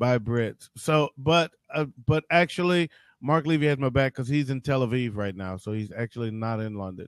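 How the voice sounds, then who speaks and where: This man has an ordinary speaking voice, with an American accent. He talks at a moderate pace with lively intonation. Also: dry, close sound with no echo, very clean recording, silent background. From Detroit. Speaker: talk show host. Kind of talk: casual chat.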